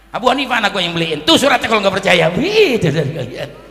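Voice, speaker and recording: There is audible room echo as a man speaks at a high pitch in an animated tone. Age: 60s. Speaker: Islamic cleric. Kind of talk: sermon.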